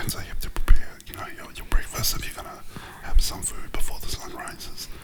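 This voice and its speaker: Against noticeable background noise, a whisper comes through at a moderate pace. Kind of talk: casual conversation.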